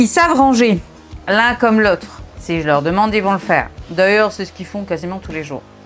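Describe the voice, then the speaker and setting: A woman at a medium pitch with lively intonation, with music in the background. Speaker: mother of three, self-development and home-reset content creator. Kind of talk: casual talk to camera, motivational vlog. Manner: casual, exasperated yet humorous, real-time tidying commentary.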